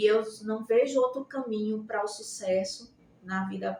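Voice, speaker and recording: Fairly high pitch from a woman, her intonation fairly even. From Brazil, Rio Grande do Norte (Natal). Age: 60s. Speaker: nursing professor. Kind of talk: interview. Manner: halting, many fillers.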